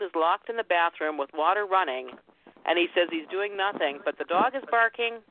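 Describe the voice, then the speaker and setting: A woman's ordinary speaking voice at a medium pitch, fairly quick in pace with lively intonation. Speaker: radio show host. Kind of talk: casual chat.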